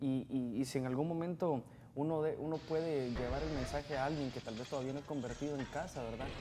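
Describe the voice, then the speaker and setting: The speech moves at a fairly quick pace. Background noise is noticeable. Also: man. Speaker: co-host reading listener questions. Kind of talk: reading aloud listener messages. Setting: studio. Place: studio.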